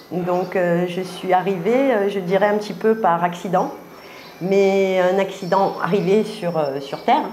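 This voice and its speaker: Speech in a Marseille accent, delivered at a fairly slow pace with fairly even intonation. There is audible echo from the room. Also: woman. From Marseille, southern France. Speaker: artist. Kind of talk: interview. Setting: filmed interview at exhibition. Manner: halting, many hesitations.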